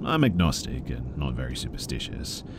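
A man with an Australian accent speaks at a moderate pace with a very deep, low pitch. Noticeable background noise is present. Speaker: horror story narrator. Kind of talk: scripted narration of scary stories read aloud in a hushed, spooky bedtime tone.

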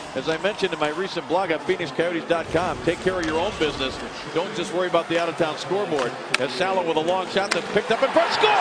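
The talking moves at a very fast pace. Background noise is noticeable. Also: man, high pitch for a man. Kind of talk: live play-by-play hockey commentary. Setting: arena broadcast. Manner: fast, excitable, rising to a shout on goals.

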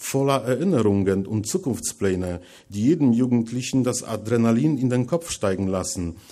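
At a moderate pace, the voice carries a dark, mellow tone. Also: man, quiet background. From Poland, Masuria; Poland. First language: Polish (speaking German). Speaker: writer, lecturer; lecturer. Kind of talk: lecture reading from manuscript. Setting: lecture hall with audience. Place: hall.

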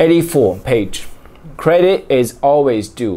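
A man's fairly high voice with a dark, mellow tone, ordinary pitch variation and a Chinese accent. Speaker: book reading vlogger. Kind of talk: casual talk to camera. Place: home room. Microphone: phone near.

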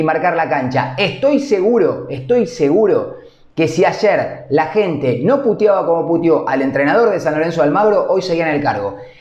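Audible room echo surrounds the recording. The man speaks at a moderate pace.

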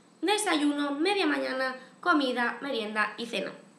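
A woman projects her raised voice with very wide pitch swings, and the room echo is audible. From Spain. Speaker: YouTube vlogger. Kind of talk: casual vlog to camera. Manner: chatty, frequent fillers. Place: home room. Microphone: webcam.

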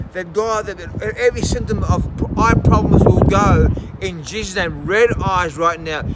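Over noticeable background noise, a man with an Australian accent speaks in an intense tone at a moderate pace. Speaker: healing evangelist. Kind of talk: fervent healing prayer with commands and decrees, delivered to camera. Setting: video recording addressed to viewers. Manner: intense, insistent, repeating commands like 'right now'.

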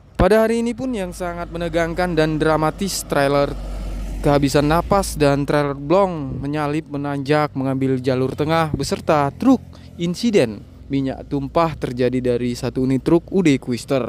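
Someone speaks at a moderate pace with ordinary pitch variation, in a dry sound with no echo and light background noise. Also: man. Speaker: channel host filming. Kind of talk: commentary. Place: street. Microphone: phone near.

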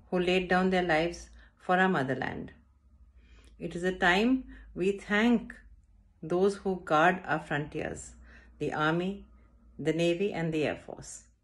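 A woman with an Indian accent, at a fairly slow pace with long, frequent pauses and ordinary pitch variation. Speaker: school director. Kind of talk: prepared address. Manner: formal. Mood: solemn, respectful. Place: home room. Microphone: phone near.

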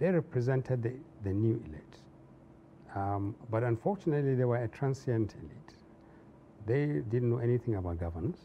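Somewhat breathy and with a northern Nigerian accent, the voice has lively intonation and a fairly quick pace, yet long, frequent pauses. There is light background noise. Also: man. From northern Nigeria, Zaria. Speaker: civil society activist and former public servant; interview guest. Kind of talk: interview. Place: studio.

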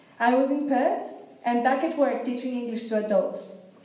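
Audible room echo surrounds a woman speaking in a high pitch. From Greece. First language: Greek. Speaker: language teacher. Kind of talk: prepared public speech. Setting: stage with audience. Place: hall. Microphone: podium.

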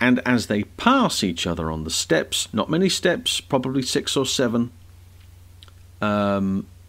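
A man is speaking. His pace is fairly slow. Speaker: presenter. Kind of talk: commentary. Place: home room. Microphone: studio mic.

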